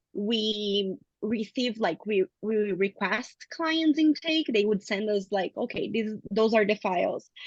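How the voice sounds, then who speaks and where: This woman talks at a very slow pace, yet with hardly any pauses, at a fairly high pitch and with a non-native accent. The sound is dry and close, with no echo. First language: not English. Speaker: counselling graduate student. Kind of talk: casual chat.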